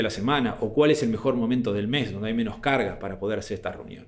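A man at a very fast pace, with audible room echo. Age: 40s. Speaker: speaker on management and habits. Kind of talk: talk / presentation. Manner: hesitant, frequent fillers.

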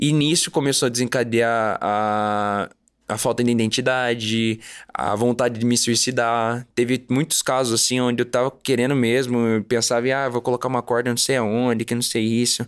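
The delivery is monotone and flat, on a very clean recording with a silent background. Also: man, medium pitch for a man, moderate pace, very even loudness. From Curitiba, Paraná, Brazil. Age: 20s. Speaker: actor. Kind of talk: testimony. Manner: halting.

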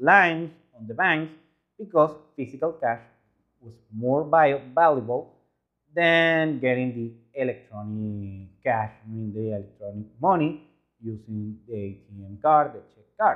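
With a Spanish accent, a man speaks at a fairly slow pace and a medium pitch, his intonation lively. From Venezuela. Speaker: YouTuber reacting to travel videos. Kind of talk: video commentary.

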